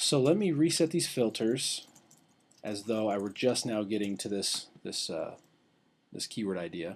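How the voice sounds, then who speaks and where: A man speaks at a fairly slow pace in a medium pitch, his voice swinging very widely up and down. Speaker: internet marketing coach. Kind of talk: tutorial. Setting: webinar screen recording.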